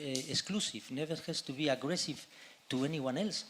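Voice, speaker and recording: Ordinary pitch variation marks a man speaking at a moderate pace. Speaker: conference panelist. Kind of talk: panel discussion. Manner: halting, many repetitions.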